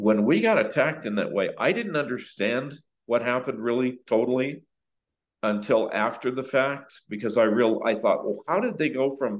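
Speaking at a moderate pace in an American accent, a man has a plain, everyday voice with a medium pitch and ordinary pitch variation. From Southern California. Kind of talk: testimony.

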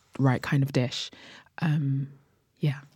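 In a very deep, low pitch, a woman talks at a fairly slow pace with a dark, mellow tone and monotone, flat intonation. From Jamaica, moved to UK at nine. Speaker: chef and cookbook author. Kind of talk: casual interview.

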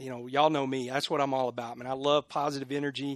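A fairly high-pitched man with a Texan accent and fairly even intonation against a quiet background. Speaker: football coach. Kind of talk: casual interview.

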